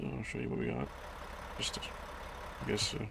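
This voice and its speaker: A man talks quietly at a moderate pace. The room echo is audible, and background noise is noticeable. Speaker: gaming YouTuber, truck driver. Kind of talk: gameplay commentary. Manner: quiet, hushed.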